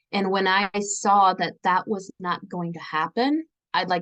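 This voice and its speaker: A woman's medium pitch and ordinary pitch variation with a Pennsylvania accent, at a fairly slow pace. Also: dry, close sound with no echo. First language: Pennsylvania Dutch. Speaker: author and relationship coach. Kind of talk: interview testimony.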